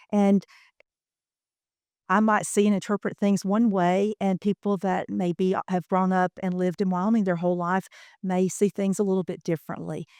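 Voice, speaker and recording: Speaking at a moderate pace, a woman with a Southern US accent keeps a medium pitch and a monotone, flat intonation in a dry, close sound with no echo. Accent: Southern US accent, still present. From US Deep South. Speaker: workforce training program manager. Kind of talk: podcast interview. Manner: hesitant, many fillers.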